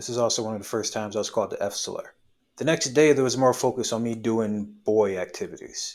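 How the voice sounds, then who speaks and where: In an American accent, a man races at a very fast pace on a very clean recording with a silent background. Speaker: video essayist. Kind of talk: scripted video essay narration.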